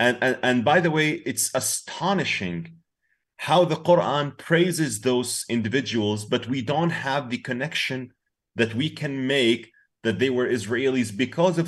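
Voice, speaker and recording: Over a quiet background, a man with an Arabic accent talks at a fairly slow pace and medium pitch, his intonation lively. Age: 40s. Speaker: peace activist and influencer. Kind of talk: casual interview.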